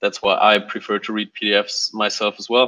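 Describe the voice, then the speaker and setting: In a quiet background, a man speaks fairly slowly in a bright, sharp tone with monotone, flat intonation. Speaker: software developer. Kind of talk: team meeting update. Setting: video call. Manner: hesitant, many fillers. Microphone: video call.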